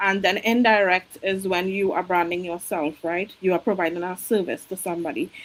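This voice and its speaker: A woman in a Caribbean accent talks at a fairly quick pace with hardly any pauses. Her intonation is fairly even. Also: medium pitch for a woman. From Trinidad. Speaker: registered nurse and online business coach. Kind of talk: interview.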